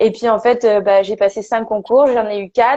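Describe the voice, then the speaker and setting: Moderate pace and a fairly high pitch from a female speaker. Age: 20s. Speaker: perinatal and parenting support worker, former nurse. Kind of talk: interview testimony. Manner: halting, many fillers.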